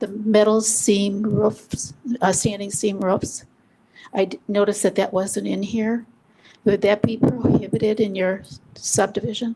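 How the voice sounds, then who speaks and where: A shaky woman's voice, medium in pitch, speaks at a fairly slow pace with monotone, flat intonation against noticeable background noise. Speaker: planning commission member. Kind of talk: public meeting discussion.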